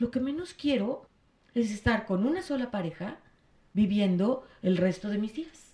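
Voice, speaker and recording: A woman with a dark, mellow tone, somewhat breathy and fairly high in pitch, speaking at a fairly slow pace with lively intonation. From Mexico City. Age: 50s. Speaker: gestalt psychotherapist. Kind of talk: casual chat.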